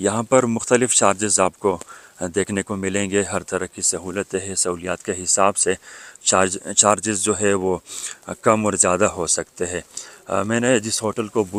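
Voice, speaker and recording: In a normal speaking voice, a man with a fairly low pitch and fairly even intonation is heard in a dry, close sound with no echo. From Pakistan, Karachi. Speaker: travel vlogger. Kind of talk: travel vlog narration. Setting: outdoors.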